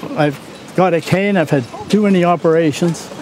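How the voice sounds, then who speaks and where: A man's fairly high voice moves at a moderate pace, its pitch varying in an ordinary way, while noticeable noise sits in the background. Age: 80s+. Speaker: veteran sailor, boat owner. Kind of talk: interview.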